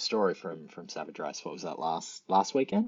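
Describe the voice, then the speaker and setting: A man with an Australian accent, moderate pace and ordinary pitch variation. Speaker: fitness channel host and obstacle racer. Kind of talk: casual chat. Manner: halting, repeats words.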